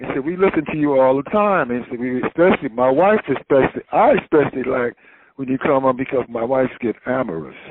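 Talking at a very fast pace with lively intonation, a man with a Southern US accent speaks at a medium pitch. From North Carolina, Wilmington. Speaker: radio announcer and jazz writer. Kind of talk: interview.

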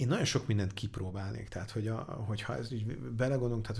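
This man's fairly low, somewhat breathy voice has ordinary pitch variation. He talks at a very fast pace with audible room echo. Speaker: angel investor. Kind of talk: interview. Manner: halting.

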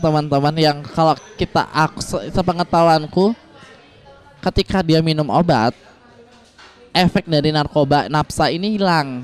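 Speaking at a moderate pace, a man with a fairly high pitch shows ordinary pitch variation. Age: 20s. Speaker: transgender and sex worker rights activist. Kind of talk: interview.

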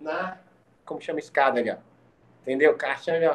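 Noticeable background noise runs behind this man's voice. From Maringá, Paraná, Brazil (from age four). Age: 40s. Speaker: podcast guest. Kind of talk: casual chat. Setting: at home, in the kitchen.

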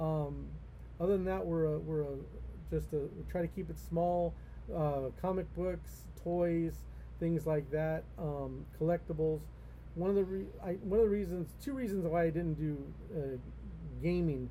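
Someone with an American accent talks at a moderate pace with long, frequent pauses, and audible room echo fills the recording. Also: man. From Los Angeles, California. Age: 50s. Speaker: comic shop owner. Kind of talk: casual interview.

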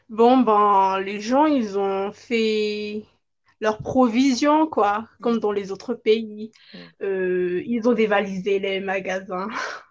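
A woman speaks very slowly with a fairly high pitch. Her pitch variation is ordinary. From Madagascar. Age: 20s. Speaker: law student. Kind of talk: interview. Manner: halting.

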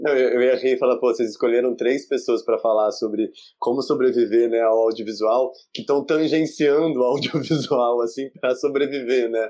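A man's medium-pitched voice, dark and mellow in tone, with fairly even intonation at a moderate pace against a quiet background. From interior of São Paulo state, Brazil. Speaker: researcher and audiovisual educator. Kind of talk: video conference panel discussion. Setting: video call.

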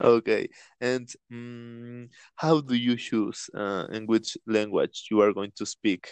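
Speaking very slowly at medium pitch, a man keeps fairly even intonation while his loudness swings widely. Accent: Spanish. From Latin America. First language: Spanish. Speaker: podcast host. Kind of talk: casual chat. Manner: halting.

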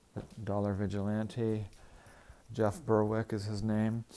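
A normal speaking voice at a moderate pace in a very clean recording with a silent background. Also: man. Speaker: real estate agent. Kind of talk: sales pitch and casual chatty update. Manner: chatty, rambling, uses fillers.

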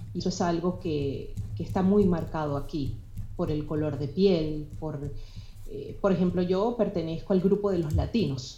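In a room with audible echo, a woman with a fairly low voice and a Venezuelan accent speaks at a fairly slow pace with ordinary pitch variation. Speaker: blogger. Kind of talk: casual chat.

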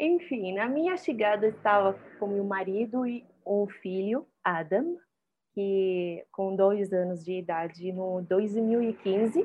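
Speaking at a very slow pace, a woman holds a medium pitch. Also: ordinary pitch variation. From Syria. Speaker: singer. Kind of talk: interview.

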